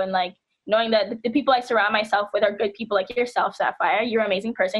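A woman at a very fast pace, fairly high in pitch, with ordinary pitch variation. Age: 20s. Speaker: activist and organizer. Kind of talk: radio interview.

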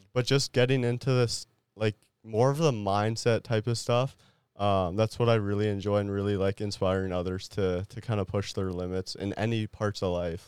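An ordinary speaking voice from a man, fairly low in pitch, at a moderate pace with fairly even intonation. The recording is very clean, with a silent background. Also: dry, close sound with no echo. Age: 20s. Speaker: athlete and entrepreneur. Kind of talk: casual interview chat. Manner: casual, filler-heavy.

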